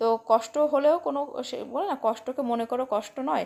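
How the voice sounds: A woman speaks in a high pitch with vocal fry. She keeps a moderate pace. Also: ordinary pitch variation, slightly mellow tone.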